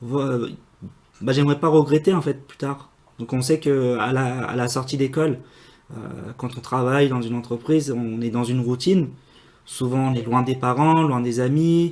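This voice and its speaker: A man's medium-pitched voice at a moderate pace, fairly even in intonation, with long, frequent pauses. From northern France, Normandy (Le Havre area). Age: 20s. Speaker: aerospace engineer. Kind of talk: interview. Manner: hesitant, many fillers.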